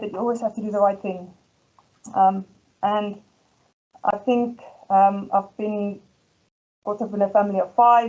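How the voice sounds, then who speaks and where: A woman with a South African accent speaks at a fairly high pitch with fairly even intonation. She leaves long, frequent pauses. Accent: Afrikaans South African. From South Africa, Ermelo (Afrikaans community). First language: Afrikaans. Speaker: school head teacher. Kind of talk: presentation. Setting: presentation event. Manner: hesitant, many fillers.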